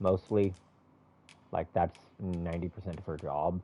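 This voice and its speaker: A man with a very deep, low pitch and a dark, mellow tone speaks at a moderate pace, with big swings in loudness. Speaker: video game streamer. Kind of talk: casual gameplay commentary. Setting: live stream. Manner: halting, stutters.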